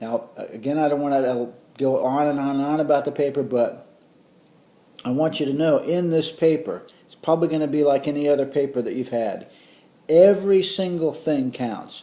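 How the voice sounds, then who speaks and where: Audible room echo surrounds a man with a fairly high pitch and a dark, mellow tone, who speaks at a fairly quick pace with ordinary pitch variation. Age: 50s. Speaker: college professor. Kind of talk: lecture. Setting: recorded course video. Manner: casual, conversational.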